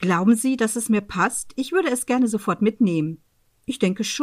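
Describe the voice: A plain reading-aloud voice set against a quiet background.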